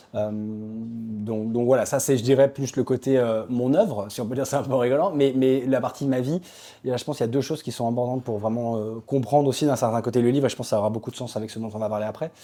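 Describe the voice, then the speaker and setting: Over a silent background in a very clean recording, a man speaks at a very fast pace. His medium-pitched voice has a dark, mellow tone and fairly even intonation. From Belgium / France. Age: 30s. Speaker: author and tech ethicist. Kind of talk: interview. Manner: halting, many fillers.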